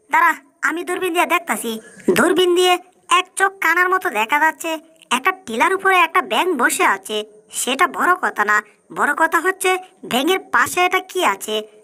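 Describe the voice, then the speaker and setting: At a moderate pace, someone performs in a put-on character voice pitched extremely high. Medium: fan dub. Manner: brash, colloquial rural Bangla.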